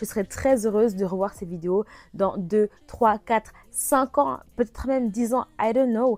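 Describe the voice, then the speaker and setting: A woman talks in a plain, everyday voice at a fairly high pitch with ordinary pitch variation. The sound is dry and close, with no echo. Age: 20s. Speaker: e-business consultant and vlogger. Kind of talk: casual vlog tutorial.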